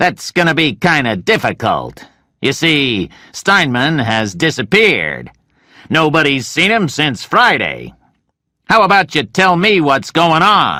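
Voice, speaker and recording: In a put-on character voice, a man speaks at a fairly slow pace with a fairly high pitch, very wide pitch swings and very even loudness, on a very clean recording with a silent background. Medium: read story. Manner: blunt, commanding.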